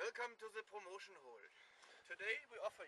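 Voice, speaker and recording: Heard dry with no echo and light background noise, a man speaks at a moderate pace. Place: open country.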